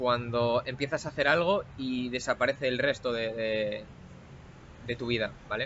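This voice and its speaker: A man's voice at a medium pitch. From Spain, Asturias. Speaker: cybersecurity professional. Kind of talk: interview conversation. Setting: recorded in person in Bali. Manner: hesitant, many fillers and repeats.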